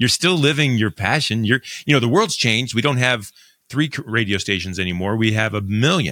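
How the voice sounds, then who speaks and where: A man with an Ohio accent talks at a fairly quick pace in a medium pitch, his tone bright, sharp, excited and animated. The recording is very clean with a silent background. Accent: general American, Ohio. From Northern Ohio. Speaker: podcast host. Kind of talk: interview, casual chat. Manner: excited, animated.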